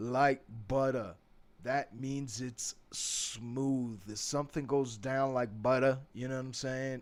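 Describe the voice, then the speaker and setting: A man with a New York accent speaks at a very slow pace. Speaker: English teacher. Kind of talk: tutorial. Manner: casual, conversational.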